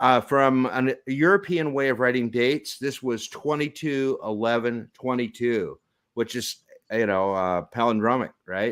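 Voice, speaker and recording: An ordinary speaking voice from a man, medium in pitch, at a fairly slow pace with ordinary pitch variation. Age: 60s. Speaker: software developer and show co-host. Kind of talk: casual chat.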